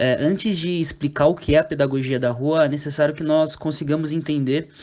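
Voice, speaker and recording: A man with a plain, everyday voice, moderate pace and fairly even intonation against a quiet background. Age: 20s. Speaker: youth football coach. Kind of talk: podcast interview.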